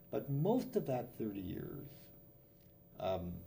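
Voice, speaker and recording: This man has a dark, mellow tone with vocal fry. He speaks in a Canadian accent, and room echo is audible. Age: 70s. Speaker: business professor. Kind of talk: interview.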